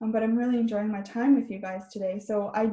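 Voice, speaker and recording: Speaking in a Canadian accent, a woman has a fairly high, somewhat breathy voice with a dark, mellow tone and fairly even intonation. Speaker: therapist. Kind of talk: webinar talk.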